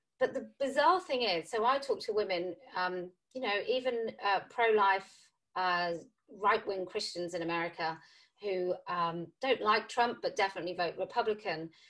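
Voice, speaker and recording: In a British accent, a woman of medium pitch speaks at a moderate pace with ordinary pitch variation over a quiet background. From UK. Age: 40s. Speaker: podcast host. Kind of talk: interview.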